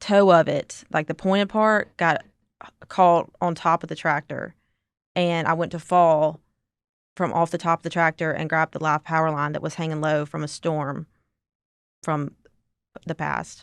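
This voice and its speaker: Fairly low in pitch, a woman speaks in a Southern accent at a fairly slow pace. Her intonation is monotone and flat, in a dry, close sound with no echo. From Mississippi. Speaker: accident survivor, amputee. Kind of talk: interview testimony. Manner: casual, halting.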